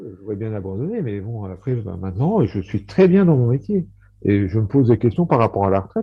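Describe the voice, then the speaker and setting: A man's somewhat breathy voice moves along fairly quickly, his intonation lively. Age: 60s. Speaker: high school maths and physics teacher. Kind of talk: casual chat. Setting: video call. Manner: halting.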